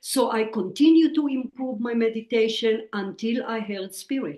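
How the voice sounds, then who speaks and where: She speaks with a strong Israeli accent at a moderate pace. Her fairly high pitch shows ordinary variation. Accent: Israeli, heavy. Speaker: psychic medium and author. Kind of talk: interview.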